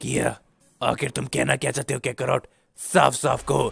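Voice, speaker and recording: A man uses a raspy, put-on character voice. He speaks at a moderate pace. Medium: read story. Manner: gruff, proud.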